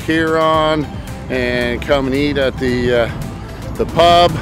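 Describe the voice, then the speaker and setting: A man talks with fairly even intonation over clear background music, the sound dry with no echo. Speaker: fishing vlogger. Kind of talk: casual vlog chat. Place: beach. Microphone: phone near.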